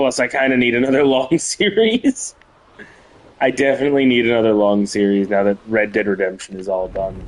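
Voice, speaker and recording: A man speaks fairly quickly with ordinary pitch variation while noticeable background noise carries on behind him. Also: medium pitch for a man. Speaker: gaming streamer. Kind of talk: live gameplay stream chat.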